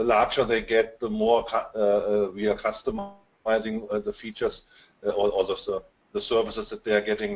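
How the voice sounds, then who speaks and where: A man with a German accent talks at a fairly quick pace. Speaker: digital marketing consultant. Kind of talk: webinar interview. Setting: online webinar. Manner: halting, many fillers.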